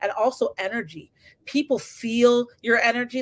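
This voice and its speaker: The woman's intonation stays fairly even. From Canada. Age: 30s. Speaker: interview host. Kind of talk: interview conversation. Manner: fast.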